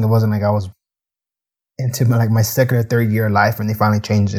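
A man talks at a very fast pace, sounding somewhat breathy. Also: very clean recording, silent background. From United States, Mexican-American family. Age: 30s. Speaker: podcast host. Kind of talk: personal monologue.

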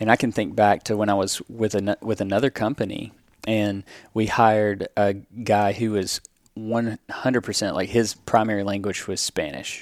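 A Southern US accent, with a dry, close sound, no echo, and a very clean recording over a silent background. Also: man, fairly low pitch for a man, moderate pace. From US South. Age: 30s. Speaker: pest control business owner. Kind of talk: casual interview.

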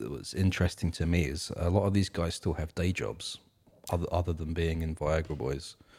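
A man at a very deep, low pitch with vocal fry, a fairly quick pace and ordinary pitch variation. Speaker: music podcast co-host. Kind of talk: casual chat. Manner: relaxed, filler-heavy.

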